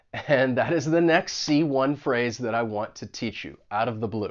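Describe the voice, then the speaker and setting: A man with an American accent has an unremarkable speaking voice. He moves at a moderate pace with lively intonation. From United States. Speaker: English teacher. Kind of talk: tutorial.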